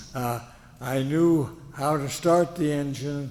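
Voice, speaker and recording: A man with an American accent at a very slow pace, fairly high in pitch, with fairly even intonation. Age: 80s+. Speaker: war veteran. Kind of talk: speech to an audience. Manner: halting, many fillers.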